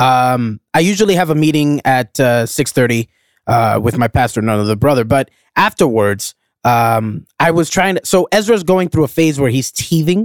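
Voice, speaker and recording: This is a normal speaking voice in an American accent, with lively intonation and very even loudness at a moderate pace. The sound is dry and close, with no echo. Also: man, medium pitch for a man. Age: 30s. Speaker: podcast host. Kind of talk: casual chat.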